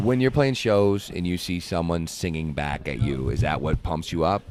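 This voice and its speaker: Noticeable noise fills the background. Through it, a man talks. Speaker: radio host. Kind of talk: backstage interview. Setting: backstage at a festival.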